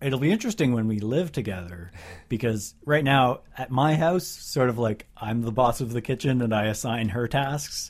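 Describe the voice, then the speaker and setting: A man at medium pitch talks in a plain, everyday voice, keeping a moderate pace and ordinary pitch variation. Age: 30s. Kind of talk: casual chat. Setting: remote call.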